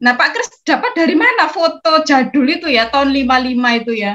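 Her voice raised and projected, a woman with a high pitch and a bright, sharp tone speaks at a fairly slow pace with lively intonation. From Gresik, East Java; East Java, Indonesia. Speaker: education trainer giving closing remarks; guest. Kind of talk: closing remarks. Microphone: video call.

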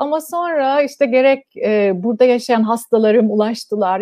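A woman speaks in a high pitch at a moderate pace. The background is quiet. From Cyprus. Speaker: gynecologist; guest. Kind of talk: interview. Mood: calm, friendly. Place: home room. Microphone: video call.

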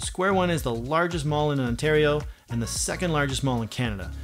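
A man talks at a moderate pace over faint music in the background. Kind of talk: scripted presenter talk. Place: home room.

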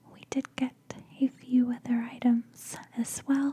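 A soft-spoken woman's high-pitched, monotone, flat voice at a very slow pace. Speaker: lifestyle vlogger. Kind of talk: casual vlog chat. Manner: soft-spoken, close-mic ASMR voice. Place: home room. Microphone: studio mic.

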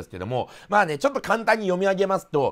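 A man is speaking. The background is quiet. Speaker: commentary vlogger. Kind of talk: commentary. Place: home room.

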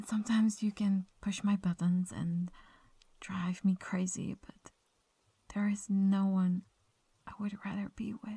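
A woman at medium pitch speaks fairly slowly with long, frequent pauses and a monotone, flat intonation. Her voice is somewhat breathy with a dark, mellow tone. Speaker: ASMR roleplay performer. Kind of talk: whispered late-night girlfriend roleplay confession to a sleeping partner. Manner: hushed intimate whisper, tender and affectionate; slow, soft-spoken with occasional shy little laughs.

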